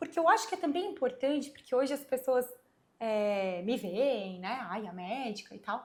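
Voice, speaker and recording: Soft-spoken and fairly slow, a woman talks with very wide pitch swings. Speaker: gynecologist. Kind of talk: casual interview.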